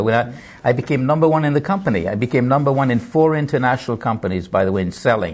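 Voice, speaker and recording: A man talks at a very fast pace in a medium pitch. His voice is somewhat breathy. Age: 70s. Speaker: motivational speaker and Holocaust survivor. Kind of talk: TV interview. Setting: TV studio.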